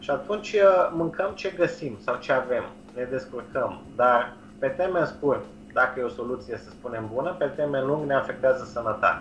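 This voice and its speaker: Noticeable background noise sits under a man's voice. He speaks at a moderate pace with fairly high pitch and lively intonation. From Romania. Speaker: nutrition and change coach. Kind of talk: interview. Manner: halting.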